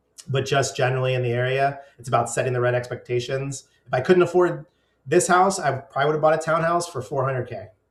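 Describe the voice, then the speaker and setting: A man speaks in a somewhat breathy voice at a medium pitch. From US, Northern Virginia. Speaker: vlogger. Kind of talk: casual monologue. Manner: hesitant, many fillers.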